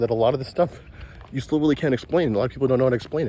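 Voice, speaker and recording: The man here has a fairly high pitch. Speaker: crypto YouTuber. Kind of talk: casual vlog monologue. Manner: fast.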